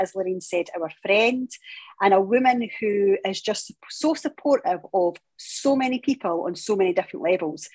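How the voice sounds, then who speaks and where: The speaker has a Scottish accent and lively intonation. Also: woman. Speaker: podcast host, CrossFit gym co-owner. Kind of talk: podcast conversation.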